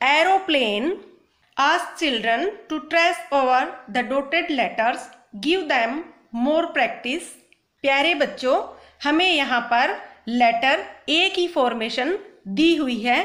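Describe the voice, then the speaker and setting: A woman's high-pitched voice rises and falls with lively intonation. She leaves long, frequent pauses. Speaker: teacher. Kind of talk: lesson for children. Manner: slow, phrase by phrase.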